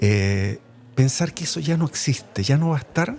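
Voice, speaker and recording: With a Chilean accent, the speaker talks at a moderate pace with lively intonation. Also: man. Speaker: radio host. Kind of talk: interview. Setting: radio broadcast from hotel.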